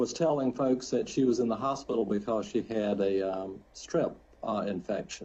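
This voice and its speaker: The man's pitch sits in the medium range and varies in an ordinary way. He keeps a moderate speed. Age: 60s. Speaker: defense lawyer. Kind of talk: parole hearing presentation. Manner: halting, many fillers.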